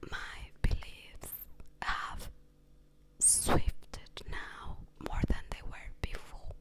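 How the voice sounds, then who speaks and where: A woman whispers at a very slow pace, leaving long, frequent pauses. Her loudness swings widely, and noticeable background noise is present. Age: young. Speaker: ASMR creator. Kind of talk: casual storytelling monologue. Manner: soft-spoken.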